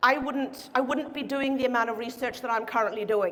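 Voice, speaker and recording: A woman speaks fairly quickly in a raised, projected voice with a bright, sharp tone and audible room echo. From Norway. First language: Norwegian. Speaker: chiropractic researcher. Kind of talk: conference talk. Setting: stage with audience. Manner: fast.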